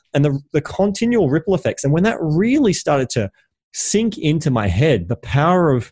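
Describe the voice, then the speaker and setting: In a very clean recording with a silent background, a man with a plain, everyday voice talks at a fairly quick pace with lively intonation. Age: 30s. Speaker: entrepreneur and podcast host. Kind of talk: casual interview chat.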